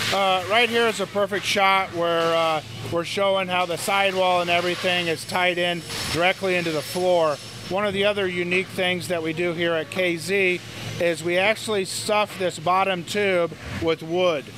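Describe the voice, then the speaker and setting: Delivered at a moderate pace, the flat, monotone speech holds a very even loudness in a dry sound with no echo, with noticeable background noise. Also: man, high pitch for a man. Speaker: factory manager giving tour. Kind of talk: interview answer. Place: factory.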